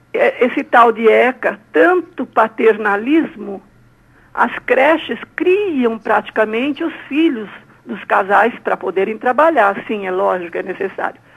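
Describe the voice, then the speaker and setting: The speech goes at a very slow pace with lively intonation. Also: woman, fairly high pitch for a woman. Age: 60s. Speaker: caller. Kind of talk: radio call-in opinion.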